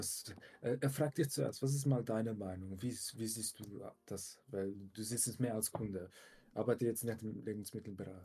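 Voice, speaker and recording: A man speaks at medium pitch with a dark, mellow, somewhat breathy tone. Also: ordinary pitch variation, moderate pace. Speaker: podcast co-host, works in tech. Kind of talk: casual chat.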